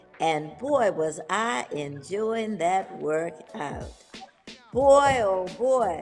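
Over faint background music, a woman speaks very slowly with very wide pitch swings. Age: 80s+. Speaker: bodybuilder. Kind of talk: interview answer. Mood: warm, animated. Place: home room. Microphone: video call.

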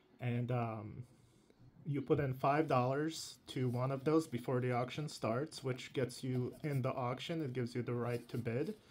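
In a very clean recording with a silent background, a man talks with an ordinary speaking voice at a medium pitch, a moderate pace and ordinary pitch variation. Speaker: YouTube channel host, Hot Wheels collector and reviewer. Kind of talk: casual talk to camera.

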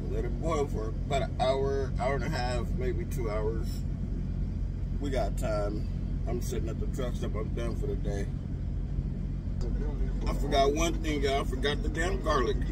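Amid loud background noise, a man speaks with long, frequent pauses. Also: moderate pace. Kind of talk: casual cooking tutorial. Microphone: phone near.

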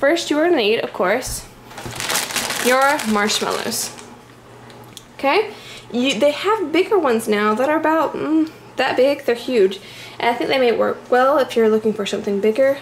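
A high-pitched woman speaks with lively intonation and long, frequent pauses. Light background noise can be heard. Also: moderate pace. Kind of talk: tutorial. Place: home room. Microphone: phone near.

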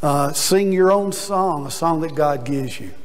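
A man talks at a moderate rate, his pitch moving up and down in an ordinary way. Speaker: preacher. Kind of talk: sermon. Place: church.

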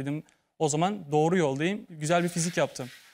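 A man talks at a fairly quick pace in an ordinary speaking voice. The background is quiet. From Turkey, İzmir; Turkey. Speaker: former model contestant; talk show guest. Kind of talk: TV talk show testimony. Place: studio.

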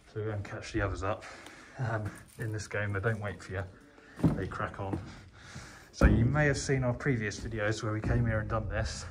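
A man with a fairly low pitch talks at a fairly quick pace amid loud background noise, using ordinary pitch variation and long, frequent pauses. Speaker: urban explorer vlogger. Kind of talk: casual vlog commentary. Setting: indoors, derelict cinema. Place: hall. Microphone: wearing a mask, sounds muffled; phone near.

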